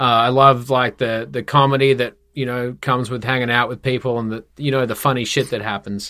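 With an Australian accent, a man speaks at a fairly quick pace and medium pitch, his tone bright and sharp and his intonation monotone and flat, in a very clean recording with a silent background. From Perth, Western Australia. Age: 30s. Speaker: tattoo studio owner, entrepreneur. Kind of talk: casual interview chat.

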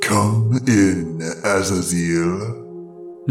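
Clear music plays behind a man doing a put-on character voice. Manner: cold.

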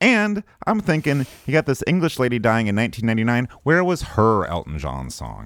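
In a very clean recording with a silent background, a man with an American accent speaks at medium pitch and a moderate pace, his pitch swinging very widely. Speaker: podcast host. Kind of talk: casual comedic chat.

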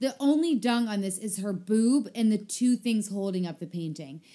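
On a very clean recording with a silent background, a woman speaks at a moderate pace with a fairly high pitch, a dark, mellow tone, a somewhat breathy quality and lively intonation. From South Africa. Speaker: podcast co-host. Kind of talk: casual chat.

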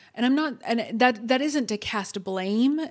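A woman with a plain, everyday voice, at a fairly slow pace, with ordinary pitch variation. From Texas. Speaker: therapist or coach. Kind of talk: podcast interview.

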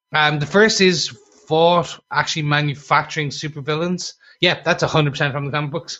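With a plain, everyday voice, a man talks at a fairly quick pace and a fairly high pitch, keeping his intonation fairly even. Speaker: podcast host. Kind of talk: casual podcast chat reviewing a TV episode.

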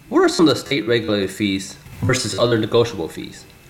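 Amid noticeable background noise, a man at medium pitch talks at a very fast pace. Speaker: podcast host. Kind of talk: podcast intro and interview.

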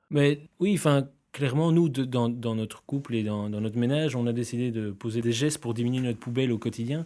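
Fairly quick speech from a man, medium in pitch, dark and mellow in tone, with ordinary pitch variation. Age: 30s. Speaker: grocery store founder. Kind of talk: interview. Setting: office studio.

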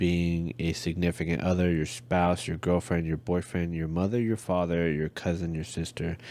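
Barely pausing, a man with an American accent speaks at a moderate pace in a very deep, low pitch, with a dark, mellow tone and fairly even intonation. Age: 30s. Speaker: podcast co-host, military husband. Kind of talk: casual chat.

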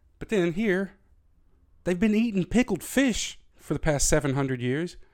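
With a Southern US accent, a man speaks in an animated tone at a high pitch and moderate pace, his pitch swinging very widely in a very clean recording with a silent background. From US South. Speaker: podcast host. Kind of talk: solo rant monologue.

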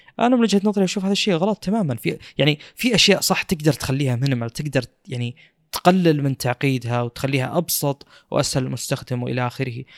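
Dry, close sound with no echo, a man talking at a fairly quick pace with very wide pitch swings. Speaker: podcast host. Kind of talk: casual chat about tech news.

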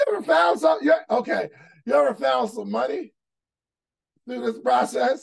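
A man with a high voice speaks with very wide swings in pitch. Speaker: podcast host leading a money book club. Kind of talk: casual, conversational group discussion with rants. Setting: live video call with participants.

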